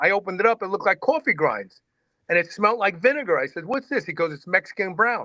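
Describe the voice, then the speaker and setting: A man talks at a very fast pace in a raised, projected voice, high-pitched with lively intonation and a bright, sharp tone. The sound is dry and close, with no echo. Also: quiet background. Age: 60s. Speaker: fitness radio host and former lifter. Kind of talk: casual interview chat. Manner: repetitive stammering starts.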